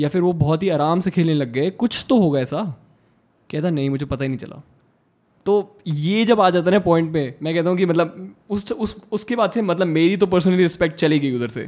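The man speaks at a high pitch with ordinary pitch variation. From Haryana, India. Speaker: badminton player. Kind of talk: casual chat.

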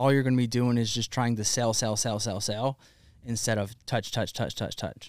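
On a very clean recording with a silent background and a dry, close sound with no echo, a man with an ordinary speaking voice and an American accent talks at a medium pitch and a moderate pace with ordinary pitch variation. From US South, Alabama. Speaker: fitness entrepreneur and coffee brand founder. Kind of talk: casual chat. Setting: warehouse studio.

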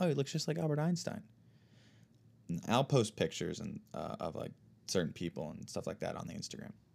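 A man with an American accent speaks at a fairly quick pace, his medium pitch swinging very widely and carrying vocal fry. He leaves long, frequent pauses. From United States. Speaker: podcast host. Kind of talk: casual chat; reading aloud. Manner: halting.

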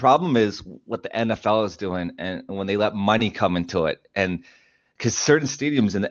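A normal speaking voice with a Canadian accent, at a moderate pace. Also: man. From Canada. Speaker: hip hop artist and podcaster. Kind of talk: casual interview.

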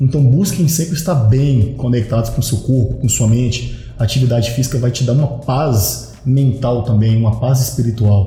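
Over noticeable background noise and audible room echo, the voice keeps a moderate pace with hardly any pauses and ordinary pitch variation. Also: man, medium pitch for a man. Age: 30s. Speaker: personal trainer. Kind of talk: casual chat. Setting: studio.

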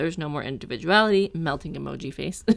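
Over a silent background in a very clean recording, a woman talks at a very fast pace in a fairly low voice. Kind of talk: casual banter turning into a heated, sarcastic rant. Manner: animated, indignant, fast and emphatic.

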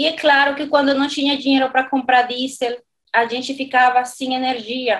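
A woman with a Dominican accent talks in a high, flat monotone at a moderate pace. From Dominican Republic. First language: Spanish (speaking Portuguese). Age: 40s. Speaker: renewable energy consultant. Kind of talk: interview. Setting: remote recording.

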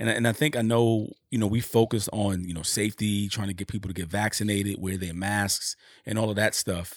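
Fairly low in pitch, a man talks at a fairly quick pace. His intonation stays fairly even. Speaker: podcast co-host. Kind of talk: casual chat. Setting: video call.

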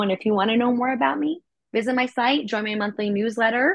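This is a normal speaking voice at a fairly quick pace. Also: woman. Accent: American. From New York City, Manhattan. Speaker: actress and voice actress. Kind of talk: interview.

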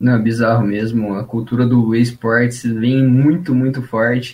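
A man speaks at a medium pitch and a fairly slow pace. His voice is somewhat breathy. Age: 20s. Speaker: founder of a tech education page. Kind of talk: casual chat. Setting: studio.

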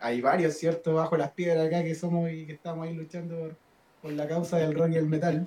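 A man talks fairly quickly in a flat monotone at a fairly high pitch, his loudness swinging widely. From northern Chile, Diego de Almagro. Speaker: rock guitarist. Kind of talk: casual chat. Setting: live stream.

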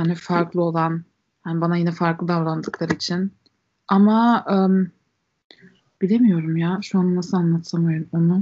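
With a slight German accent, a woman speaks at a moderate pace and a fairly low pitch, her intonation fairly even. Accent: slight German melody in Turkish. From Germany. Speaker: podcast guest. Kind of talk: casual chat.

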